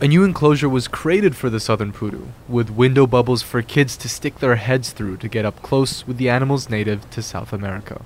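A man with an ordinary speaking voice, medium pitch and ordinary pitch variation, at a fairly quick pace with hardly any pauses. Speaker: radio reporter. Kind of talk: polished radio news report, scripted voiceover. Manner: clear, measured, even.

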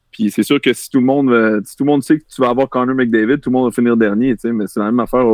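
A man talks very fast in a Quebec accent. His pitch is medium and his intonation fairly even. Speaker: former football player and sports media analyst. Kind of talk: casual chat about football.

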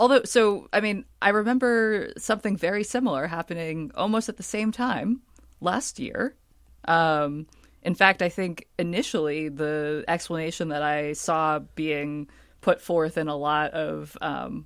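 Over a very clean recording with a silent background, a woman with an ordinary speaking voice talks at a moderate pace and fairly low pitch, her intonation lively. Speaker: science journalist. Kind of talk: news panel discussion.

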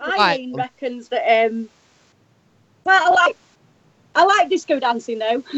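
With an English accent, a woman speaks very slowly in a high voice, her pitch swinging very widely between long, frequent pauses. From Sheffield, England. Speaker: country singer, interview guest. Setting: internet call with bad connection.

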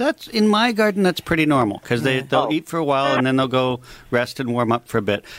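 Speaking with a Canadian accent, a man uses a medium pitch, lively intonation and a very fast pace. His loudness is very even, and the sound is dry and close with no echo. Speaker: landscaper. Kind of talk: radio call-in advice. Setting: studio.

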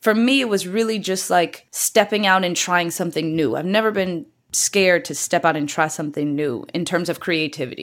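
A woman with a normal speaking voice and an American accent, fairly low in pitch, fairly quick with hardly any pauses, on a very clean recording with a silent background. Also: lively intonation. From rural Virginia, Louisa County. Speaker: trend expert. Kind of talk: casual interview chat.

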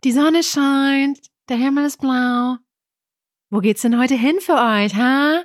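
Using a put-on character voice with a high pitch, a speaker sounds strained and talks at a fairly slow pace with long, frequent pauses. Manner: strained, overly cheerful radio host.

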